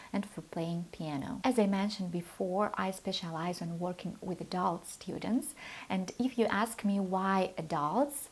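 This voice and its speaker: A woman with a Russian accent speaks at a moderate pace, her medium-pitched voice somewhat breathy and showing ordinary pitch variation. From Moldova. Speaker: piano teacher. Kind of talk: channel introduction talk.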